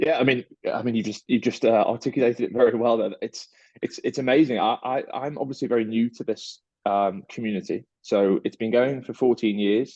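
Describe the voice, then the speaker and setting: A man with a British accent talks at a fairly quick pace in a medium pitch, his tone dark and mellow. His intonation stays fairly even, and the sound is dry and close with no echo. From UK. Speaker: startup partnerships manager. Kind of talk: interview. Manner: halting, many fillers and repeats.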